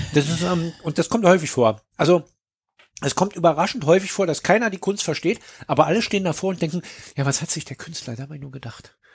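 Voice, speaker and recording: Talking at a fairly quick pace, a man has a high pitch with ordinary pitch variation. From East Germany. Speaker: podcast host. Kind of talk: casual chat.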